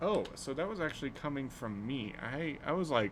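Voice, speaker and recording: Audible room echo colors the recording. A man talks within it. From US Pacific Northwest (Portland). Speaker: streamer. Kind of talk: casual chat. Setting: live stream. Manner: halting, many fillers.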